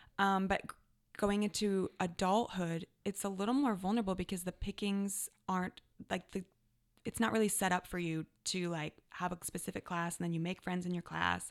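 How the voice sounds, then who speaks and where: A woman with a normal speaking voice talks at a moderate pace with medium pitch and fairly even intonation, in a very clean recording with a silent background and a dry, close sound with no echo. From Canada. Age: 30s. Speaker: life coach. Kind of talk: casual chat.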